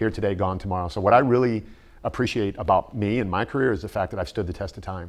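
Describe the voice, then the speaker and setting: In a Midwestern American accent, a man talks very fast at a fairly low pitch with ordinary pitch variation. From US Midwest (Canton, Ohio). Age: 60s. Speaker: fitness personality and former Marine. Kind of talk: interview.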